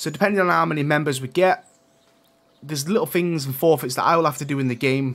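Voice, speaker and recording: A man with an East Midlands accent talks at a very fast pace. His voice is fairly high with ordinary pitch variation. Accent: British, East Midlands. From England, East Midlands. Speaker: gaming streamer. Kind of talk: live gameplay stream chat. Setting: live stream.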